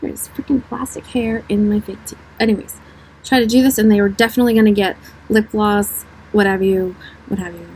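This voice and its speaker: Speaking at a fairly quick pace but with long, frequent pauses, a woman with a fairly high voice and ordinary pitch variation shows big swings in loudness against noticeable background noise. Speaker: beauty vlogger. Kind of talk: casual makeup tutorial chat. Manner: soft-spoken.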